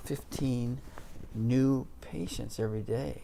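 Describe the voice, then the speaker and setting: Audible room echo surrounds a man as he talks. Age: 60s. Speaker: orthopedic surgeon. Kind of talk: interview. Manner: halting, many fillers.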